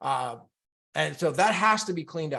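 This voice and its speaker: There is vocal fry in this man's voice. He has an American accent. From California. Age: 40s. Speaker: health influencer. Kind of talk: live stream monologue. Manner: halting.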